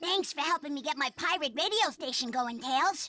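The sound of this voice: A cartoonish character voice, high in pitch, goes at a moderate pace.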